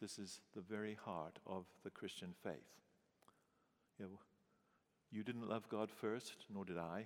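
A man's fairly low voice at a fairly slow pace, with fairly even intonation and long, frequent pauses. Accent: English. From England. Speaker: pastor. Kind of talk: sermon.

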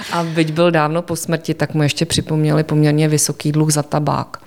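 A woman talks with a fairly low pitch. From Czechia, Prague. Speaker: art museum curator. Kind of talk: interview.

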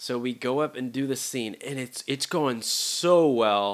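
Ordinary pitch variation in a man's voice, bright and sharp in tone. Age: 20s. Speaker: podcast host. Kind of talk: casual solo monologue. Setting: home studio recording, also on YouTube. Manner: rambling, casual, with filler words.

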